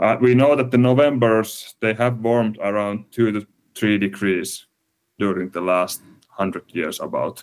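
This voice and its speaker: A man speaks at a moderate pace with a Finnish accent. His pitch sits fairly low and varies in an ordinary way. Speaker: climate researcher. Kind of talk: interview. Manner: halting.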